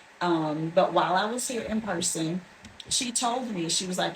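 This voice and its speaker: A woman talks at a medium pitch. Noticeable background noise is present. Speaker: hair salon client. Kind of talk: testimonial interview.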